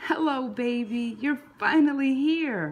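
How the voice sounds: A woman with a high pitch at a slow pace. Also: ordinary pitch variation.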